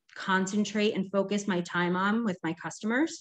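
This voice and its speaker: A woman's shaky, medium-pitched voice moves at a moderate pace with ordinary pitch variation over a quiet background. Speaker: direct sales consultant. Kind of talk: training talk.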